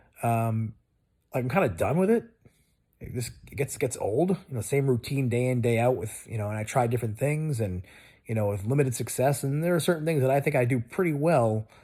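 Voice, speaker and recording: On a very clean recording with a silent background, a man talks at a fairly quick pace in a dark, mellow, somewhat breathy tone. His pitch is medium, with ordinary variation. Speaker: video blogger. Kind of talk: casual monologue. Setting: lying in bed. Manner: rambling, loose; relaxed, lying down.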